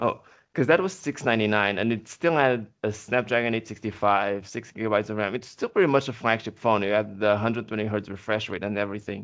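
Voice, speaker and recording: A man with a Portuguese accent speaks at a very fast pace and fairly low pitch, with ordinary pitch variation and hardly any pauses. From Portugal. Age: 20s. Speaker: podcast co-host. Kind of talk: casual chat.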